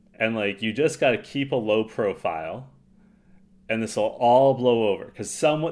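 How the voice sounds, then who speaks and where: A man with a Canadian accent, a plain, everyday voice, at a moderate pace. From Toronto, Canada. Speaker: podcast host. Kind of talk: casual chat.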